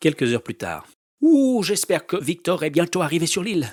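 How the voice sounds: Here is a natural reading voice with lively intonation. The background is quiet.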